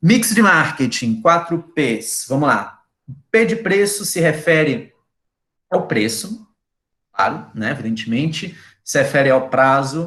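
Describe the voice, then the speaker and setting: A man with a fairly high pitch speaks very slowly, his bright, sharp tone sweeping through very wide pitch swings, with long pauses that come often. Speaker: university lecturer. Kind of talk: lecture. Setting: video call.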